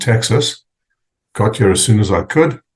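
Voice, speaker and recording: The voice is somewhat breathy. The background is quiet. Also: man. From South Africa, Port Elizabeth. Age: 60s. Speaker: fraternal organization president. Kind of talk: interview. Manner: halting, many fillers.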